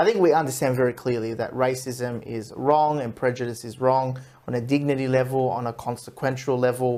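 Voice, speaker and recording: Words come at a fairly quick pace. An Australian accent marks the speech. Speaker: radio show host. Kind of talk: radio talk show interview. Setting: radio studio.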